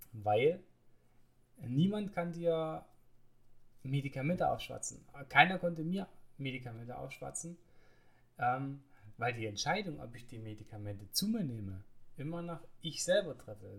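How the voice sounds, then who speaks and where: A man talks at a moderate pace with long, frequent pauses. His fairly high, somewhat breathy voice swings very widely in pitch and widely in loudness. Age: 30s. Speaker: podcaster living with multiple sclerosis. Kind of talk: personal monologue podcast. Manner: hesitant, many filler sounds.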